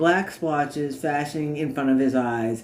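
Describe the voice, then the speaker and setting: A man with a plain, everyday voice and fairly even intonation. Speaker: author reading own work. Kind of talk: audiobook narration.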